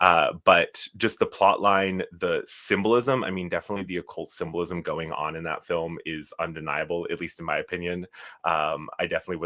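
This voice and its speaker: The recording is very clean with a silent background as a man speaks at a moderate pace. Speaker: hypnosis practitioner hosting live show. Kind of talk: live stream talk. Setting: live stream. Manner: animated.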